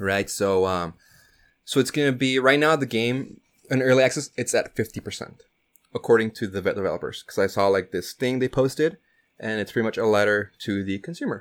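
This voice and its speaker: This man has an ordinary speaking voice at medium pitch. He talks at a fairly quick pace with ordinary pitch variation. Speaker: podcast co-host. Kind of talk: casual chat. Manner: casual, filler-heavy.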